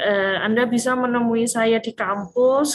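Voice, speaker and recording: A woman with a strong Malang accent and fairly even intonation, with music in the background and a dry, close sound with no echo. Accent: strong Malang Javanese. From Indonesia, Malang (East Java). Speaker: university lecturer. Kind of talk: lecture. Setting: video call. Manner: casual, with many fillers.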